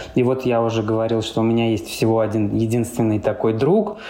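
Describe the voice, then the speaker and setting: A man at medium pitch and a fairly quick pace, with noticeable background noise. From Russia, Samara. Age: 30s. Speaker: blogger and apartment rental owner. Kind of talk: casual chat.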